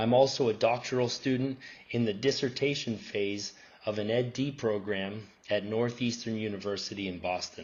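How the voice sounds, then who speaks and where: Audible room echo hangs around this recording. The man's intonation stays fairly even. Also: medium pitch for a man, moderate pace. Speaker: professor presenting research. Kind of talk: conference presentation. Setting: academic conference.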